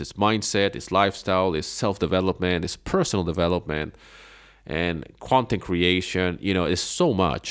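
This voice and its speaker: The recording is very clean, with a silent background. The speaker has a non-native accent and a moderate pace. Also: man. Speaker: podcast host and online business coach. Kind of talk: solo podcast talk giving advice. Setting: home living room. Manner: casual, many fillers and repetitions.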